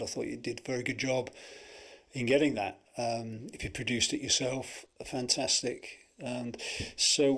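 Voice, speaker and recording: Here a man speaks with a strong Buckinghamshire accent at a moderate pace. His pitch is medium and his intonation fairly even. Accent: strong Milton Keynes. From England, Milton Keynes. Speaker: former band associate. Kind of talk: casual chat. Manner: halting.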